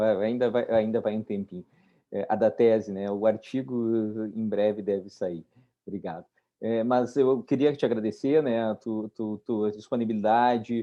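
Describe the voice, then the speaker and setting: Speaking at a fairly slow pace, a man with a southern Brazilian accent keeps a medium pitch and fairly even intonation. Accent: gaúcho. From southern Brazil (Rio Grande do Sul). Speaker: environmental lawyer. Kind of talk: online webinar discussion.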